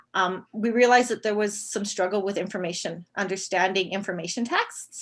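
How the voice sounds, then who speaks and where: The recording is very clean, with a silent background. A woman speaks at a medium pitch and a fairly quick pace, her intonation fairly even. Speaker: elementary teacher presenting at a teachers' conference. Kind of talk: conference presentation. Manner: fast.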